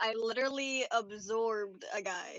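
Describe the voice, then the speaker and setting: A woman's put-on character voice, fairly high in pitch. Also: moderate pace. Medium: actual play. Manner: deadpan.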